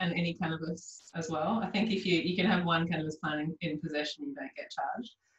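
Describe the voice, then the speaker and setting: Speaking with an Australian accent, a woman talks at a very fast pace with hardly any pauses. Her pitch is fairly low and shows ordinary variation. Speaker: naturopath podcast host. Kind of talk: interview.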